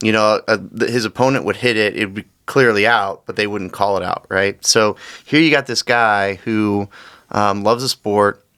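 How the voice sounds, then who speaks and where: Loud and bright, with a sharp tone, a man speaks at a moderate pace in a fairly low pitch, leaving long, frequent pauses. The intonation stays fairly even, and the sound is dry and close with no echo. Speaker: podcast host. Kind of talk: casual chat. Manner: halting, repeats words.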